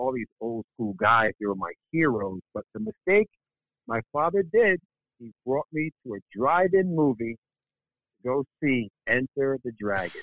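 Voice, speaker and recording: Delivered at a fairly slow pace with very wide pitch swings, the speech comes with an American accent. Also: man, medium pitch for a man. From Connecticut, US. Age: 50s. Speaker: karate instructor. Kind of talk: interview.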